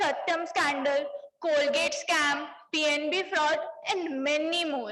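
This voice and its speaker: Amid audible room echo, a woman with a high voice speaks at a very slow pace. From Punjab, India. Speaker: CA student speaker. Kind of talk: conference speech. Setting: stage with audience. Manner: formal.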